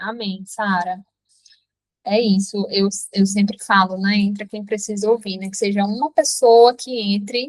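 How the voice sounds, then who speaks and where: A woman speaks at a fairly slow pace in a medium pitch. Her voice is somewhat breathy, with fairly even intonation. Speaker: app founder and devotional leader. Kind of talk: testimony and devotional talk in a live stream. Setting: live online meeting with chat.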